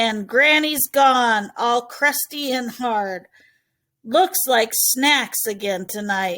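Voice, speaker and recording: A woman puts on a character voice with growling and a high pitch. She speaks at a very slow pace with lively intonation. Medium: read story.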